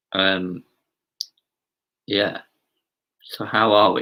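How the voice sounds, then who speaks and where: Here a man talks with an Essex accent. His tone is bright and sharp. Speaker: pastor. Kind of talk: casual greeting to online congregation.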